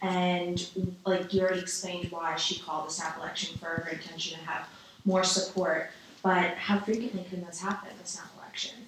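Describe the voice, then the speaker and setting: With a New York accent, a woman speaks fairly quickly at a medium pitch in a monotone, flat intonation. Noticeable background noise is present. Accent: New York American. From New York City. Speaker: student podcast interviewer. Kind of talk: interview.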